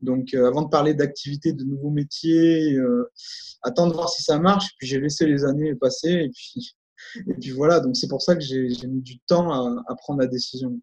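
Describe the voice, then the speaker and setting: Somewhat breathy and fairly high in pitch, a man's voice shows ordinary pitch variation and big swings in loudness. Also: moderate pace. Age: 40s. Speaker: memory and concentration coach. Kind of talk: interview.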